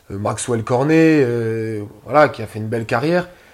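A man with a plain, everyday voice speaks at a fairly slow pace and medium pitch, with ordinary pitch variation, on a very clean recording with a silent background. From Moselle, northeastern France. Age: 20s. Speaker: amateur footballer. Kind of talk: casual interview.

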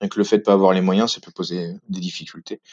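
Moving at a moderate pace, a man talks with fairly low pitch and a monotone, flat intonation. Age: 30s. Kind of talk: testimony. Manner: halting.

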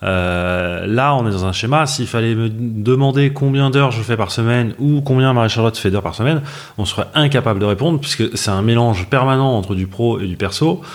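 A plain, everyday voice from a man, with ordinary pitch variation and a fairly quick pace. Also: medium pitch for a man. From Paris, France. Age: 40s. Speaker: business partner of content creator, newlywed. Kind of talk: podcast interview.

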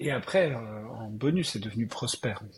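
A man speaks slowly-ish, at a fairly slow pace and medium pitch. He has an unremarkable speaking voice. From Alsace, France. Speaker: tech entrepreneur. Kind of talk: interview.

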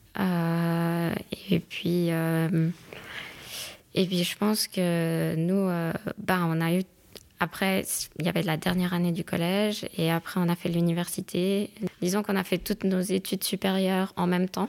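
A woman's fairly low, monotone voice at a fairly slow pace, with very even loudness and long, frequent pauses. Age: 30s. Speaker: lawyer and doctoral student. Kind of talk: casual chat.

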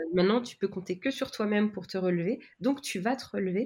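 With a dark, mellow tone and a somewhat breathy quality, the speaker keeps a moderate pace and ordinary pitch variation. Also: woman. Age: 30s. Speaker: business mentor and training company founder. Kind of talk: interview. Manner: hesitant, many fillers.

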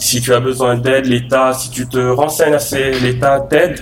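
Amid audible room echo and noticeable background noise, a man speaks at a medium pitch and moderate pace with monotone, flat intonation. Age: 20s. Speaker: art director. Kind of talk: interview.

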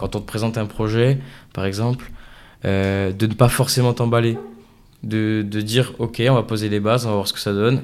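On a very clean recording with a silent background, a man with a fairly low voice speaks at a moderate pace with fairly even intonation and long, frequent pauses. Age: 20s. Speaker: tech entrepreneur. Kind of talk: interview. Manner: hesitant, many fillers.

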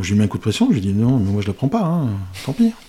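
This man has a medium-pitched voice. He speaks at a very fast pace. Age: 50s. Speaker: watch collector, business owner. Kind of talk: casual chat.

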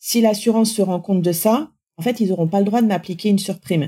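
A somewhat breathy woman's voice with a dark, mellow tone and ordinary pitch variation, on a very clean recording with a silent background. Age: 40s. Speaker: cancer survivor and patient association assistant. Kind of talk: testimony. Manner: halting.

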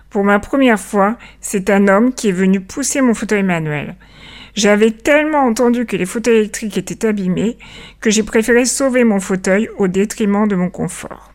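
Here is a woman with a plain, everyday voice and a fairly high pitch. She talks at a moderate pace with ordinary pitch variation. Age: 40s. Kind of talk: scripted narration.

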